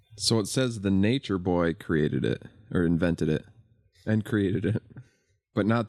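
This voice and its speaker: This man talks at a moderate pace in a very deep, low voice with ordinary pitch variation. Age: 40s. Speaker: podcast co-host. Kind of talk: casual chat.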